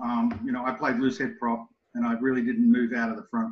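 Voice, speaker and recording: This man speaks with an Australian accent at a moderate pace. His pitch swings very widely. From Sydney, Australia. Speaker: rugby coach. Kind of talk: interview conversation.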